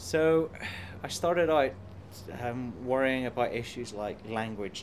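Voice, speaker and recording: A man speaks with ordinary pitch variation. Audible echo fills the room. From Ireland. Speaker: computer science professor. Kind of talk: interview. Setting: conference.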